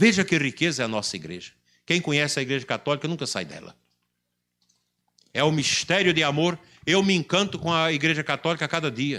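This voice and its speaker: A man with a bright, sharp tone and vocal fry speaks in a fairly high pitch with ordinary variation, leaving long, frequent pauses, in a very clean recording with a silent background. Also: fairly quick pace. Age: 60s. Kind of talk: sermon.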